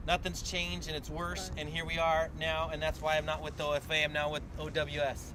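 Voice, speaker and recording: Hardly pausing, a man talks at a fairly quick pace against noticeable background noise. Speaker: activist organizer. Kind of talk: public meeting speech. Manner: loud; animated.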